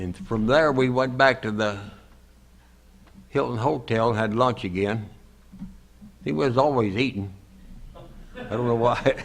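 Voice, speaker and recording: A man's speech broken by long, frequent pauses, with noticeable background noise. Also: medium pitch for a man, ordinary pitch variation, fairly slow pace. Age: 90s. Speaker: war veteran. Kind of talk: testimony. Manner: halting.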